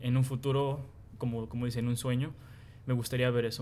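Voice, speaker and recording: Monotone and flat, a man's dark, mellow voice stays at medium pitch. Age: 20s. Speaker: account manager. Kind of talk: group interview.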